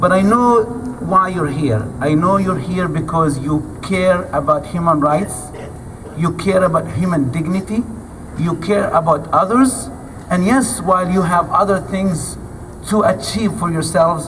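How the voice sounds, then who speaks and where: The speech moves at a fairly slow pace. Noticeable background noise runs behind it. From Gaza, Palestine. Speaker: activist speaker. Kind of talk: speech to audience.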